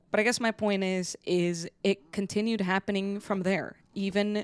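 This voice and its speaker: A woman speaks in a relaxed tone. Her pace is moderate. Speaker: gaming content creator. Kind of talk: casual personal commentary. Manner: relaxed, conversational with fillers.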